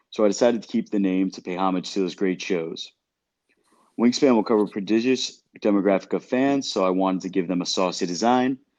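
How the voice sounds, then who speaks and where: With a slight Brooklyn accent, a man speaks in a fairly low voice at a fairly quick pace. His pitch varies in an ordinary way, and the background is quiet. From Brooklyn, New York. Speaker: podcast co-host. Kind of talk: casual chat.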